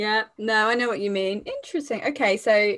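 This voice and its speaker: Speaking in a British accent, the woman has a fairly high pitch. Her pace is fairly quick. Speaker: podcast host. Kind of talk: casual interview chat.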